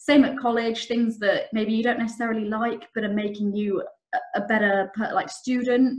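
Against a quiet background, a woman with an English accent speaks at a moderate pace in a fairly high pitch with ordinary pitch variation. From England. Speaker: trainee solicitor. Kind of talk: career talk to students. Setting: video call. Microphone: webcam.

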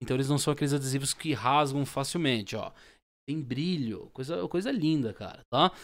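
Against a quiet background, a man with a Brazilian accent talks in a fairly high pitch with ordinary pitch variation. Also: moderate pace. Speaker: YouTuber selling own stickers. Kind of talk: street-vendor-style sales pitch. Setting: home video recording, showing stickers to camera. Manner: animated, pitchy, repeating 'tá?' and praising the product. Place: home room. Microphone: studio mic.

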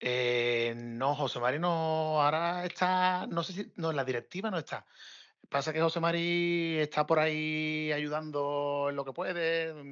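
Against a quiet background, a man with an ordinary speaking voice and a fairly high pitch talks at a fairly slow pace with ordinary pitch variation. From Cádiz, Spain. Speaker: football fan guest. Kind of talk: casual chat.

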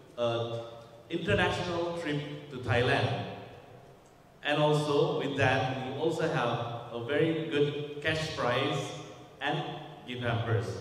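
In a room with strong echo, a man speaks at a very slow pace with a fairly high pitch. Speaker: fashion brand head. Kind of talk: press conference. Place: hall.

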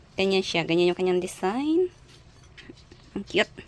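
A woman talks at a medium pitch with very wide pitch swings. Noticeable background noise can be heard. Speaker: vlogger. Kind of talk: casual vlog narration. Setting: outdoors. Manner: animated.

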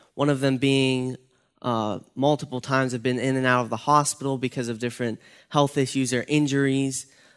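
A man's voice with a quiet background. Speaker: youth pastor. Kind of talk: devotional talk. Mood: calm, earnest, encouraging. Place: church. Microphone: headset.

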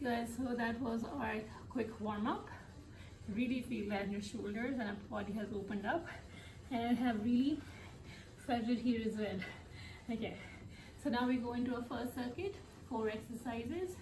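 Speech at a moderate pace with ordinary pitch variation, broken by long, frequent pauses over noticeable background noise. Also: woman. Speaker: fitness instructor. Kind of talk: tutorial. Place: home room. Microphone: camera far.

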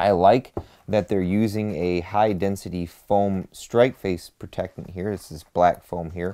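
The background stays quiet. His intonation is fairly even as the man talks. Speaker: channel host. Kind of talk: product review commentary. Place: home room.

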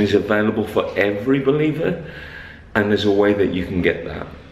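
Audible room echo colors the voice of a man whose pitch varies in an ordinary way. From Wolverhampton, West Midlands, England. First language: Punjabi and English. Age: 40s. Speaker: pastor. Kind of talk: casual vlog talk to camera. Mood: earnest, intense. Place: hall. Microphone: phone near.

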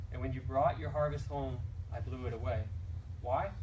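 Speech comes at a moderate pace over noticeable background noise. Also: man. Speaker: scripture reader. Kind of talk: scripture reading. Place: church.

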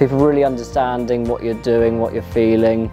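A man at a fairly quick pace, clear music in the background. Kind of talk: interview answer.

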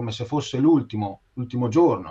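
A man speaks with lively intonation over a quiet background. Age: 50s. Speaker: art teacher and author; art teacher. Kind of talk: interview. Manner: halting. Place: home room. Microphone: video call.

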